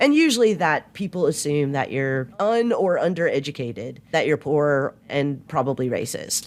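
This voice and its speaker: The speaker has a Southern US accent and talks with hardly any pauses. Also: moderate pace. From US South. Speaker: philosophy podcast co-host. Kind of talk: casual discussion. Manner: casual, folksy speech.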